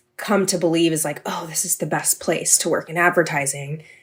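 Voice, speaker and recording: A woman's fairly low, monotone, flat voice in a West Coast accent, on a very clean recording with a silent background. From California. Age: 20s. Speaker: podcast producer. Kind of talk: interview.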